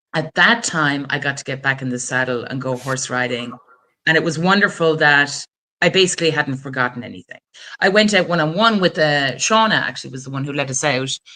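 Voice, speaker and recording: Speaking fairly quickly with lively intonation, a woman uses a very deep, low pitch and a bright, sharp tone, her loudness swinging widely. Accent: Wexford. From Ireland, rural County Wexford. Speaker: attorney, guest. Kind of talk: interview, personal story.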